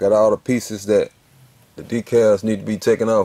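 The speech moves at a moderate pace with monotone, flat intonation. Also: man. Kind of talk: tutorial. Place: garage. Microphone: phone near.

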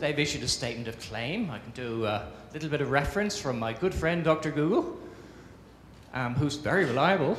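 Amid light background noise and audible room echo, a man talks at a fairly quick pace. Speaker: conference presenter. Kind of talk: conference talk. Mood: humorous, self-deprecating. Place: stage. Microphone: handheld.

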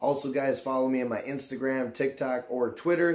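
Fairly quick speech from a man, intonation fairly even. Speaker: YouTuber. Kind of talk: casual vlog chat. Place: home room.

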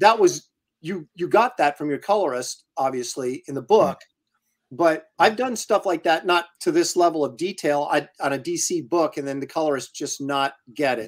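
A man with an American accent speaks at a moderate pace in a plain, everyday voice, fairly high in pitch, with ordinary pitch variation. His loudness swings widely, and the background is quiet. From US Pacific Northwest. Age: 50s. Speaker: comic book artist and live show host; comic book artist, live show host. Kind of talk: casual chat and interview. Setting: live video stream. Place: home room.

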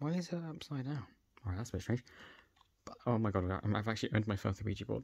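A man with a British accent, medium in pitch and somewhat breathy, at a very fast pace with lively intonation and long, frequent pauses. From UK. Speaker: YouTuber. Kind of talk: unboxing video. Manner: animated. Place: home room.

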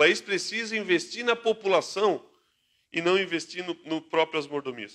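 Against a quiet background, a man with a high voice and a bright, sharp tone talks at a moderate pace with ordinary pitch variation. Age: 30s. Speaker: political candidate; candidate. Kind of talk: interview. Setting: radio studio.

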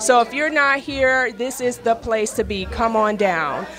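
A woman speaks at a fairly slow pace with noticeable background noise behind her. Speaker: red carpet host. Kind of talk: live event interview. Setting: live event, in person. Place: hall. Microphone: handheld.

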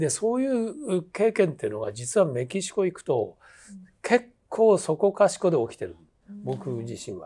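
In a dark, mellow tone, a high-pitched man speaks at a moderate pace with very wide pitch swings and big swings in loudness against a quiet background. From Japan, Hitachi (Ibaraki); Ibaraki, Japan. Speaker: theatre director and teacher; teacher. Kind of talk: interview conversation. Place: studio.

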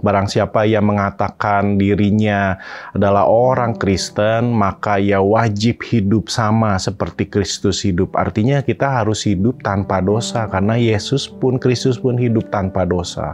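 Speech comes at a fairly slow pace with fairly even intonation. Light noise sits in the background. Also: man, fairly low pitch for a man. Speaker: pastor. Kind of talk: sermon. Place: studio. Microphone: phone near.

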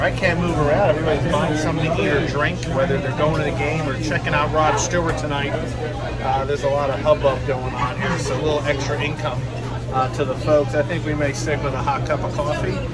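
Someone talks at a very fast pace over loud background music. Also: man. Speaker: ballpark travel vlogger. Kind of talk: casual vlog chat. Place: boat. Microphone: phone near.

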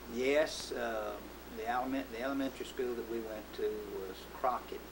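A man talks at a moderate pace. Background noise is noticeable throughout. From Texas, USA. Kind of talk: oral history interview answer.

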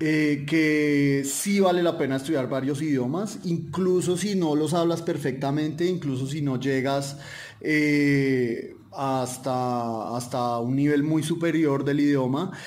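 There is audible room echo as a man speaks at a very slow pace. His pitch is fairly high, with ordinary variation. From Colombia. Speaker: polyglot, development worker. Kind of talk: podcast interview. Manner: hesitant with many fillers.

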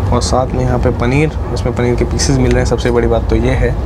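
A man speaks at a moderate pace while clear music plays behind him. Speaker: travel vlogger. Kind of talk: casual vlog chat. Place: train. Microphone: phone near.

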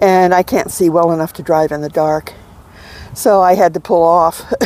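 A woman's fairly low-pitched voice with a dark, mellow tone, fairly even intonation and a moderate pace, in a dry sound with no echo. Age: 70s. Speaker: van dweller. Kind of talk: interview. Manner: halting. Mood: calm, reflective. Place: open country. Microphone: lapel.

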